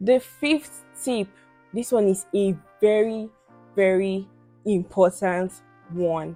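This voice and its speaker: Over music in the background, a woman talks at a very slow pace and medium pitch with ordinary pitch variation. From Nigeria. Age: 20s. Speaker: beauty and lifestyle vlogger. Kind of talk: casual talk to camera.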